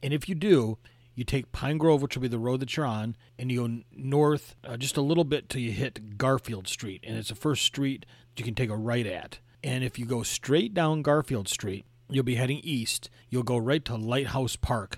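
Moderate pace and ordinary pitch variation in an Upper Midwest accent, on a very clean recording with a silent background. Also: man. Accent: Upper Midwest American (Michigan). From Michigan, the Thumb region. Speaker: podcast host, travel guide. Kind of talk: travel narration, casual guided tour.

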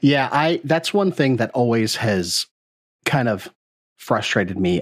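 A man speaks in a normal speaking voice at a fairly slow pace. His intonation is lively. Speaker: podcast co-host. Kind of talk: casual interview.

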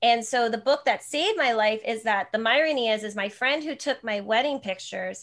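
Against a quiet background, a woman with an American accent talks at a fairly quick pace with ordinary pitch variation and hardly any pauses. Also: fairly high pitch for a woman. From New Jersey. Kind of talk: casual chat.

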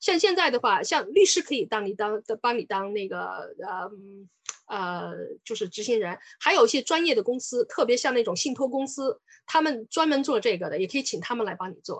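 Recorded dry and close with no echo, a woman speaks at a fairly quick pace. Her high pitch moves in very wide swings. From China, Sichuan. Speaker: lawyer. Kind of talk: lecture. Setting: online webinar.

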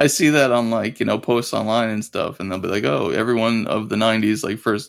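A man with a plain, everyday voice speaks at a medium pitch and a fairly quick pace, with ordinary pitch variation, on a very clean recording with a silent background. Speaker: podcast guest, fan. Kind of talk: casual chat.

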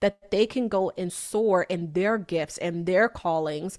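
Speaking at a fairly slow pace in a plain, everyday voice, a woman uses ordinary pitch variation, with a dry, close sound with no echo on a very clean recording with a silent background. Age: 30s. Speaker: business coach. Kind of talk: interview.

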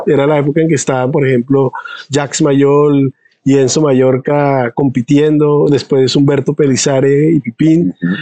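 In a dry, close sound with no echo, a man with a fairly high pitch and a dark, mellow tone talks at a moderate pace, his intonation fairly even and his loudness very even. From Colombia, San Andrés island. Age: 50s. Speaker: pulmonologist and physiology researcher. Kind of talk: interview.

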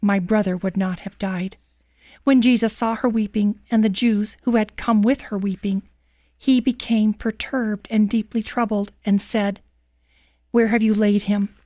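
A woman with a fairly high pitch speaks at a moderate pace in a monotone, flat intonation, her dark, mellow tone captured in a dry, close sound with no echo on a very clean recording with a silent background. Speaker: scripture reader, radio commentator. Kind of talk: scripture reading aloud, dramatic narration. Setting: studio. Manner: solemn, measured, dramatic.

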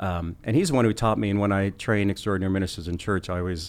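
A man with an American accent speaks at a very fast pace. His pitch is very deep and low, and the recording is very clean with a silent background. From Kansas. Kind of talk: casual conversational interview. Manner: energetic, fast talker when preaching.

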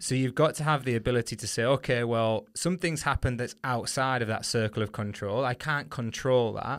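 A man with a northern English accent talks at medium pitch and a fairly quick pace, with hardly any pauses and ordinary pitch variation. The recording is very clean, with a silent background. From northern England. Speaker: podcast host and running coach. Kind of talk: casual interview chat. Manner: friendly, conversational.

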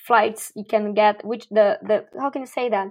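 A woman with a Portuguese accent and fairly high pitch, at a moderate pace, in a very clean recording with a silent background. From Brazil. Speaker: startup community builder. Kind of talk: interview.

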